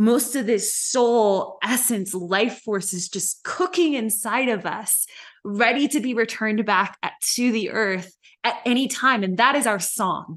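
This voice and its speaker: A woman with a fairly high pitch speaks in an ordinary speaking voice. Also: ordinary pitch variation. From US South, Memphis, Tennessee. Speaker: storyteller and leadership coach. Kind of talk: casual chat.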